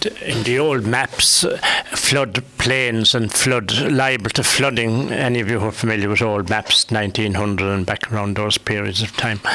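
A man with a Limerick accent at a fairly slow pace, against noticeable background noise. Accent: Irish (Limerick). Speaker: local radio host. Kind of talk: radio panel discussion. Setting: radio studio.

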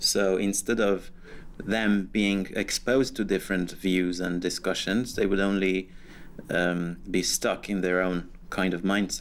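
A man with a Persian accent speaks at a fairly slow pace in a fairly low pitch with monotone, flat intonation. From Iran. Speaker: blogger and journalist. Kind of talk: interview.

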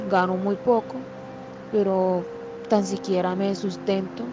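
The speaker talks at a fairly slow pace with a Colombian accent, and noticeable background noise runs underneath. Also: woman. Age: 30s. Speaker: mother sharing personal story. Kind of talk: testimony.

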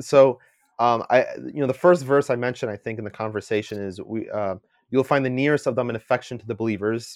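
A man talks at a fairly quick pace with ordinary pitch variation in a plain, everyday voice. The sound is dry and close with no echo, over a quiet background. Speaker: guest, engineering graduate and landscape architecture intern.

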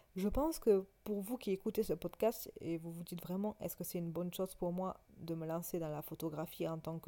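A woman with a fairly low, dark, mellow voice speaks at a moderate pace with ordinary pitch variation. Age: 20s. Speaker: photographer and podcaster. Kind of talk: solo monologue podcast. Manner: calm; hesitant, many fillers.

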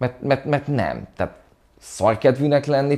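A man with a medium pitch talks at a moderate pace, his dark, mellow tone marked by vocal fry. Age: 30s. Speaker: DJ, producer and music journalist. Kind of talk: interview. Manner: halting, many repeated words.

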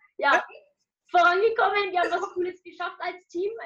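The woman's tone is bright and sharp. Her pace runs fairly quick. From Germany, Nuremberg. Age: 20s. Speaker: student and social media motivational creator. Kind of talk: interview.

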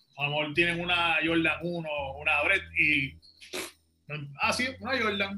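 With lively intonation and a high pitch, a man talks at a fairly slow pace. His speech has long, frequent pauses. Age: 30s. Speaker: rapper. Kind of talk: casual chat.

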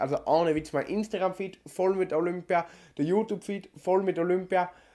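A man with a South Tyrolean accent speaks at a fairly quick pace and a high pitch. The recording is very clean, the background silent. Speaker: podcast co-host. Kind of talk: casual chat.

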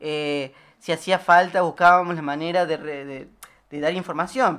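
A woman speaks at a fairly slow pace. Her pitch is very deep and low, with ordinary variation. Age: 20s. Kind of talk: radio interview. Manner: halting.

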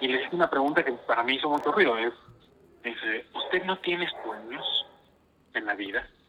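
Amid noticeable background noise, a man with a fairly high pitch speaks at a moderate pace with lively intonation. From northern Mexico, Coahuila. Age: 30s. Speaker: religious brother. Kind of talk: casual interview. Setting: remote call from home.

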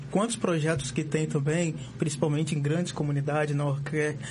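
Noticeable background noise sits behind this recording. The man speaking has a fairly high pitch. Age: 20s. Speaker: social work student, youth politics activist. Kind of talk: casual chat. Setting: studio. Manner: animated.

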